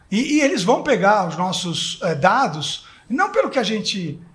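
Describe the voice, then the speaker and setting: Over noticeable background noise, a high-pitched man speaks with very wide pitch swings. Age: 50s. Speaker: advertising executive. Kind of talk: panel discussion. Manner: halting.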